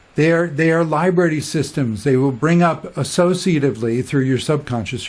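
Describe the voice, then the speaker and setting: Ordinary pitch variation and a moderate pace mark this somewhat breathy voice. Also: man. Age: 60s. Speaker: spiritual teacher. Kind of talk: casual monologue. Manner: animated; halting.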